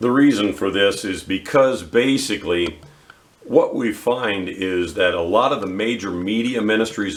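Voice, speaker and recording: A man uses an unremarkable speaking voice, fairly low in pitch with ordinary pitch variation. He speaks at a fairly slow pace. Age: 60s. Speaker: Bible teacher. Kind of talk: bible teaching.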